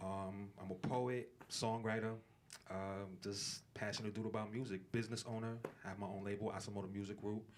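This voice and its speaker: Against noticeable background noise, a man talks at a fairly quick pace in a fairly low, monotone voice with flat intonation. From Brooklyn, New York. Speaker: rapper. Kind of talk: interview. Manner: casual, filler-heavy.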